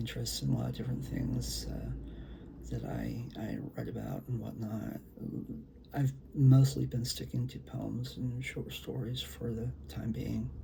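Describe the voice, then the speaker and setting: A soft-spoken man talks at a fairly slow pace, with noticeable background noise and audible echo in the room. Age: old. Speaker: poet and author. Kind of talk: casual talk to camera before poetry reading. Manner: hesitant, many fillers.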